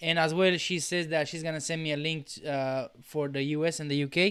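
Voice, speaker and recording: Monotone and flat in intonation, a man with a Spanish accent speaks at a fairly high pitch and a moderate pace in a very clean recording with a silent background. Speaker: podcast host. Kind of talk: casual interview chat. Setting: live video stream.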